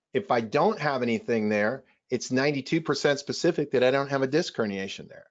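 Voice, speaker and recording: A man talks at a moderate pace with a medium pitch in an ordinary speaking voice. His intonation is lively. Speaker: chiropractor presenting to doctors. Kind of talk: webinar presentation.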